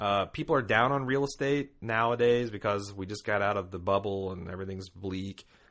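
A man with a plain, everyday voice, lively intonation and a moderate pace, over a quiet background. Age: 30s. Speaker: podcast co-host. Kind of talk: casual chat.

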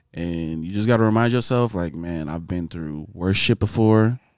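Over a very clean, silent background, a man with a very deep, low voice and a dark, mellow tone talks at a fairly quick pace with ordinary pitch variation. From Southern California, Nigerian American family. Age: 20s. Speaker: podcast guest. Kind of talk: casual chat.

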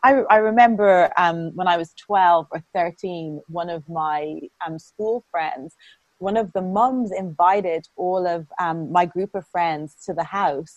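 Recorded with a dry, close sound and no echo, a woman with an Irish accent speaks at a very slow pace, using ordinary pitch variation and big swings in loudness. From Ireland. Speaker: interviewer. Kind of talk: interview conversation.

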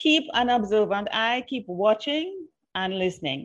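A woman with a fairly high voice speaks at a fairly slow pace. Her pitch swings very widely. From Trinidad. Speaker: PR consultant and podcast host. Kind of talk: interview.

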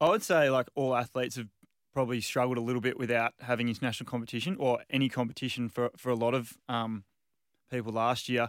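Speaking at a very fast pace with an Australian accent, a man at medium pitch keeps a fairly even intonation in a dry, close, very clean recording with a silent background and no echo. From Western Australia, Margaret River. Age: 30s. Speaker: field hockey player, national team captain. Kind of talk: interview. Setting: studio.

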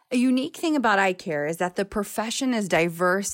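Speaking in an unremarkable speaking voice, a woman talks at a fairly quick pace with medium pitch and lively intonation. The recording is very clean, with a silent background. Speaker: optometrist and practice owner. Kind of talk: reading aloud.

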